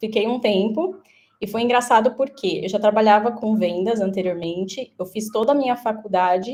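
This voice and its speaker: A woman speaks with a dark, mellow tone at a fairly high pitch. Her pace is moderate and her pitch variation ordinary. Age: 20s. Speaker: career changer, former sales consultant. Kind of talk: webinar interview.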